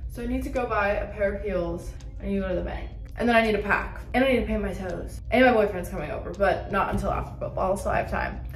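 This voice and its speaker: Amid audible room echo and faint background music, a woman talks at a very fast pace. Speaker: vlogger. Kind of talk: casual vlog chat. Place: home room. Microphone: phone near.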